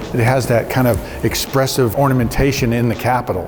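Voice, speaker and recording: A man talks in a medium pitch with fairly even intonation. Audible room echo and noticeable background noise surround him. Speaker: builder and historic restoration craftsman. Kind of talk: walking tour presentation. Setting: on location inside a post office. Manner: conversational, many fillers; speaking quietly.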